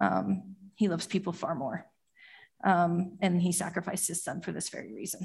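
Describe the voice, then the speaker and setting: The woman's voice is somewhat breathy and set at medium pitch. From Utah, US. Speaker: church elder. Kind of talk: testimony. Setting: church.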